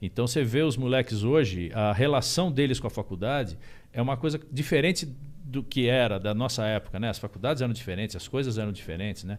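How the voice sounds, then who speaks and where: A man at medium pitch, very fast in pace, with ordinary pitch variation. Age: 50s. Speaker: musician. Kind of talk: podcast interview. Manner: halting, many fillers and repeats.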